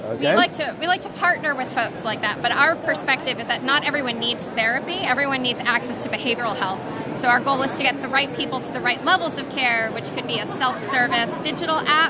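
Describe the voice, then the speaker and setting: A woman talks at a very fast pace with hardly any pauses and ordinary pitch variation, her voice dry with no echo over loud background noise. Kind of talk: interview answer. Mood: friendly, smiling. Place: hall. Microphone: phone near.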